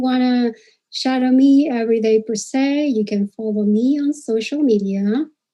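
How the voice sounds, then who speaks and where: A woman with a Spanish accent, high-pitched, with a dark, mellow tone, ordinary pitch variation and a fairly slow pace. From Peru. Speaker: dental hygienist. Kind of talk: presentation. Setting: live stream. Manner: hesitant, many fillers.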